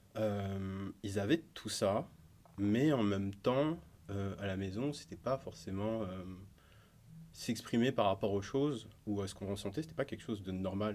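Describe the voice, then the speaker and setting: On a very clean recording with a silent background, a man talks fairly slowly in a fairly low voice with ordinary pitch variation. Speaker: musician and illustrator. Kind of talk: podcast interview. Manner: halting, many filler sounds.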